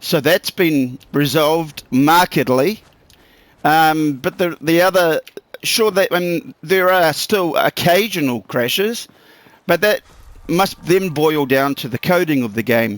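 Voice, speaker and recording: Speaking very slowly with a New Zealand accent, a man uses a fairly high pitch and lively intonation, and the sound is dry and close with no echo. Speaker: gaming YouTuber. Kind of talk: gameplay commentary. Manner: casual, swearing rant.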